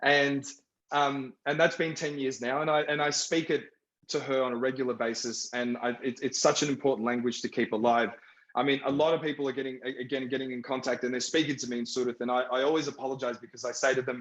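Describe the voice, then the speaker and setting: Very fast speech comes from a man at medium pitch. His intonation stays fairly even. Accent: Australian. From Iraq (Baghdad), raised in Australia. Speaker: film director. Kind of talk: panel discussion.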